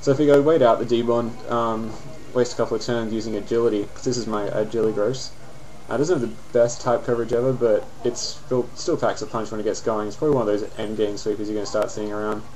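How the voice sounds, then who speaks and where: Speaking very fast in an Australian accent, a man keeps a medium pitch and fairly even intonation. Noticeable background noise is present. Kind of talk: casual game commentary. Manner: casual, hesitant.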